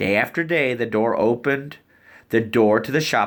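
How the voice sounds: The speaker uses a natural reading voice.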